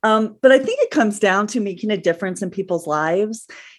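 An unremarkable speaking voice from a woman at a medium pitch with ordinary variation. She talks at a fairly quick pace over a quiet background. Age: 50s. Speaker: nanny agency owner. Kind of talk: interview.

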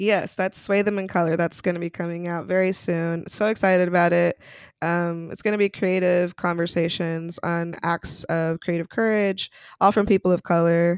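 In an American accent, the speaker talks at a moderate pace with monotone, flat intonation, in a very clean recording with a silent background. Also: woman, fairly low pitch for a woman, dry, close sound with no echo. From Utah, US. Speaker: entrepreneur, communication consultant. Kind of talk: interview.

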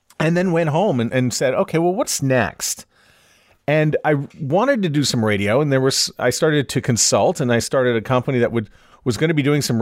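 A man with a normal speaking voice and a Canadian accent, fairly quick and lively in intonation, on a very clean recording with a silent background. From Canada, Montreal. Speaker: podcast consultant. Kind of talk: interview.

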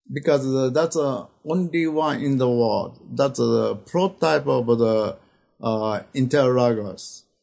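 A man with a Japanese accent speaks very slowly, his intonation lively and his loudness very even. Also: medium pitch for a man. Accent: Japanese accent, non-native English. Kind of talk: interview. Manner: halting, many fillers.

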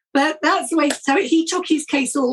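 A woman speaks with a British accent. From Britain. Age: 60s. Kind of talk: interview.

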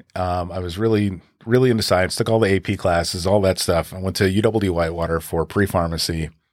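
A man with an American accent talks in a very deep, low voice, his pitch varying in an ordinary way, on a very clean recording with a silent background. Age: 40s. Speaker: advertising executive and podcaster. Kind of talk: casual interview conversation.

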